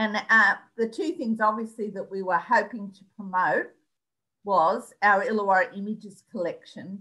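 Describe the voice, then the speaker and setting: With an Australian accent, a woman at medium pitch speaks at a moderate pace in a bright, sharp tone, her pitch varying in an ordinary way amid big swings in loudness. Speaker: local studies librarian. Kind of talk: presentation. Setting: video call.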